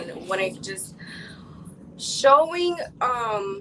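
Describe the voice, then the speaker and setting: A woman speaks with a Chicago accent over noticeable background noise. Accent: Chicago American English. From Chicago, US Midwest. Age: 20s. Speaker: entrepreneur and women's empowerment advocate. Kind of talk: interview.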